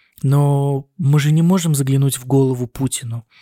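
With a Russian accent, a man speaks in a dark, mellow tone at a fairly high pitch, with fairly even intonation and a moderate pace, in a dry, close sound with no echo. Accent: Russian accent when speaking German. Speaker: doctor (neurosurgeon) working in Germany, podcast co-host. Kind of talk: casual chat. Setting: recording on hospital night duty, on a laptop.

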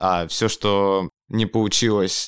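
A man speaks in a plain, everyday voice with a fairly low pitch and fairly even intonation. The very clean recording has a silent background and a dry, close sound with no echo. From Yekaterinburg, Russia. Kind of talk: casual chat.

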